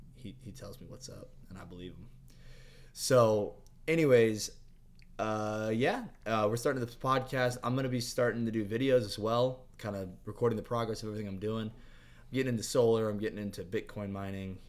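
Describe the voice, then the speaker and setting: At a fairly quick pace, a man with an unremarkable speaking voice and medium pitch talks with fairly even intonation and big swings in loudness. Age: 20s. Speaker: podcast co-host, engineer. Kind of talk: casual chat. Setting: studio.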